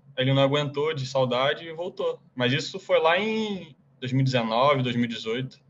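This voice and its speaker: Very slowly, a man speaks at a fairly high pitch. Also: ordinary pitch variation. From Brazil, Rio de Janeiro. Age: 20s. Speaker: college soccer player. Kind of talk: casual interview.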